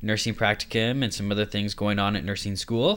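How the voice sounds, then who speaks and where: The speech is mumbling. It moves at a fairly quick pace. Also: man. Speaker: nursing student podcaster. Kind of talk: casual solo podcast monologue. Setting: home recording.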